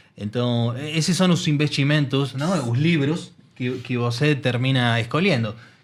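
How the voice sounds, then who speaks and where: Speaking at a fairly slow pace, a man with an Argentine accent has a medium pitch and ordinary pitch variation, with audible room echo. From Argentina. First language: Spanish (speaking Portuguese). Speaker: technology executive. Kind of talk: interview conversation. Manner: hesitant with filler 'eh'.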